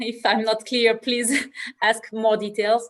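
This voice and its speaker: Her pitch sits fairly high. The woman's pace is fairly slow. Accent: French. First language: French. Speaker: viticulture producer. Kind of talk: panel discussion. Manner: halting.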